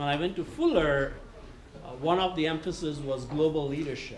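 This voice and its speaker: Audible room echo and noticeable background noise surround this recording. The man speaks with a fairly high pitch and fairly even intonation. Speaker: retreat speaker on church leadership. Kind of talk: workshop talk.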